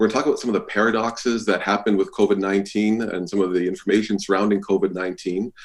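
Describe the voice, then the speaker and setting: A man with a Canadian accent rattles along at a very fast pace in a fairly low, flat monotone. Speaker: physician lecturer. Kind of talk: lecture.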